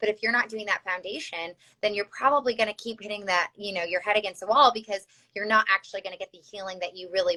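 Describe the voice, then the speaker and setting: Very fast and with a Chicago accent, a woman speaks in a medium pitch with ordinary pitch variation and big swings in loudness, the sound dry and close with no echo. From US Midwest, Chicago. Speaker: health practitioner. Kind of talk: interview. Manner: hesitant, many fillers.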